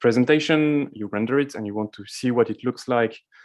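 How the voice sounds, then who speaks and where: Against a quiet background, a man speaks at medium pitch and a fairly quick pace. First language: not English. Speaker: conference speaker. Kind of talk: conference talk. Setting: virtual conference. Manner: hesitant, many fillers.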